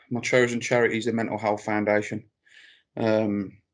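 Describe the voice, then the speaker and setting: In a Birmingham accent, a man with a medium pitch talks at a fairly quick pace with monotone, flat intonation against a quiet background. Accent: Brummie. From Birmingham, England. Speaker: clothing brand founder. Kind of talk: interview.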